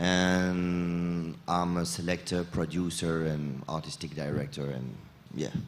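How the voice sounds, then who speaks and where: A man with a French accent, very deep and low in pitch, at a very slow pace with fairly even intonation and audible room echo. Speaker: sound system selector and producer. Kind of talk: panel discussion. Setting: stage with audience at festival.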